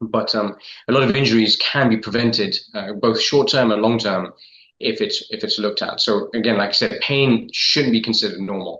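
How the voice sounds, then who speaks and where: Speaking with an English accent, a man keeps a moderate pace. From London, England. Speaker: podiatrist. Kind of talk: interview. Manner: halting, many fillers and repetitions.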